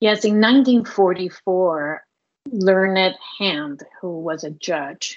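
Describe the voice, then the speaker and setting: Her voice at a medium pitch, a woman speaks with ordinary pitch variation. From Puerto Rico, Cuban family. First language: Spanish. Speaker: human rights advocate. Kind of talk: interview.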